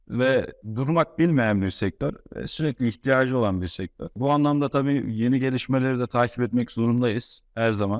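A man speaks in a plain, everyday voice at medium pitch and a moderate pace, with ordinary pitch variation and a dry, close sound with no echo. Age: 20s. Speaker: car wash owner. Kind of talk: casual interview.

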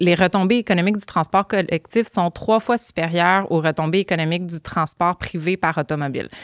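Her voice is a normal speaking voice, fairly low for a woman, with fairly even intonation and a moderate pace, recorded dry with no echo against a quiet background. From Quebec, Montreal suburbs; Quebec. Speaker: transit advocacy organization director; podcast guest. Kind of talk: podcast interview. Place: studio. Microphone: studio mic.

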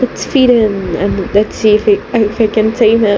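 Against noticeable background noise, a woman with a fairly high pitch speaks at a very slow pace. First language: not English. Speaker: gamer. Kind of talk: casual gameplay commentary. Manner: rambling, repetitive, self-deprecating; animated, playful.

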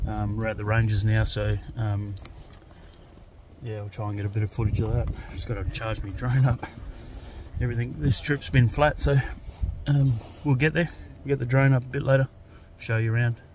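A man talks at a fairly quick pace with fairly even intonation, his dry sound with no echo set against noticeable background noise. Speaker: camping vlogger. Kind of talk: casual vlog chat. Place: open country. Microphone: phone near.

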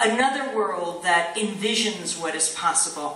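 A woman speaks at a very slow pace. Audible echo from the room can be heard. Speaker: guest. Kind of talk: public speech. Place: stage. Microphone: podium.

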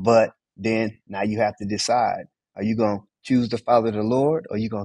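In a dark, mellow tone with an American accent, a man talks at a fairly quick pace against a quiet background, the sound dry with no echo. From US Southwest, Phoenix. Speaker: Bible study teacher. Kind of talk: Bible study teaching. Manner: animated. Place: home room. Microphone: video call.

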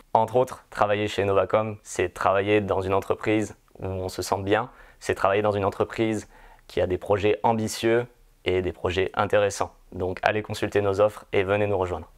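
A fairly low-pitched man's voice with monotone, flat intonation. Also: moderate pace, quiet background. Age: 30s. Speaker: pre-sales engineer. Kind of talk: corporate recruitment testimonial. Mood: calm, positive. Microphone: lapel.

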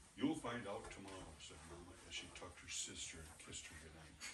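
A man talks at a fairly quick pace. There is audible room echo. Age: old. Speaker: grandfather reading to preschoolers. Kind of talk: reading aloud.

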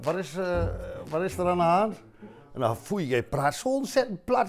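Over light background noise, a man speaks at a moderate pace in a high pitch with very wide pitch swings. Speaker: musician. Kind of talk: casual conversation at a café table. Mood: amused, laughing. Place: cafe. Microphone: lapel.

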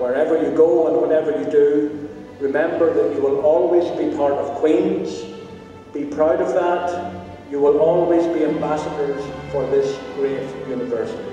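The voice moves at a moderate pace with ordinary pitch variation, in strong room echo with faint music in the background. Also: man. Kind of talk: formal closing address. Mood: warm, formal. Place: hall. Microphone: podium.

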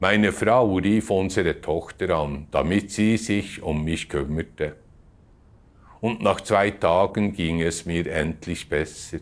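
In a very clean recording with a silent background, a man speaks at a very slow pace in a very deep, low pitch with ordinary pitch variation. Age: 80s+. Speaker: church member giving testimony. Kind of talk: testimony.

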